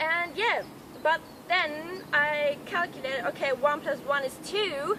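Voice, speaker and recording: In a German accent, a woman projects a raised, high-pitched voice at a very slow pace with ordinary pitch variation, over noticeable background noise. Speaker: health vlogger. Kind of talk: casual talk to camera.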